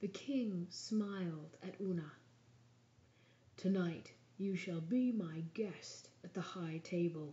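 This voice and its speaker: A soft-spoken woman with a somewhat breathy, gentle tone talks at a medium pitch with ordinary pitch variation. Her pace is very slow, with long, frequent pauses. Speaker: ASMR storyteller. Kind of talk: bedtime story reading. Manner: soft-spoken, gentle.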